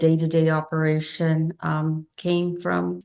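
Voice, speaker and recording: A woman with a Spanish accent speaks in a fairly low, dark, mellow voice with monotone, flat intonation. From Chino, San Bernardino County, California (Spanish-speaking immigrant family). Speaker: nonprofit co-founder, entrepreneur. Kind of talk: interview.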